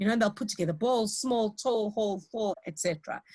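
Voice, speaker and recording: Fairly high-pitched, somewhat breathy woman's voice full of lively intonation. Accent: South African. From South Africa. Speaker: lecturer in teacher training. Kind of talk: lecture. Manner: hesitant, many fillers.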